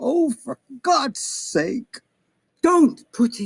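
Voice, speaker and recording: This is a put-on character voice. The pitch is high. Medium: stage play.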